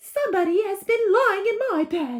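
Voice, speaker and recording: A squeaky, female-sounding put-on character voice, extremely high in pitch for a woman, at a moderate pace. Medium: read story.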